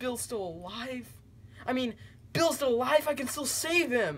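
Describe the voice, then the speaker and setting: A cartoonish character voice moves along at a moderate pace. Light background noise sits underneath. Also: female-sounding voice, high pitch for a woman. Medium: puppet show. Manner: earnest, confused.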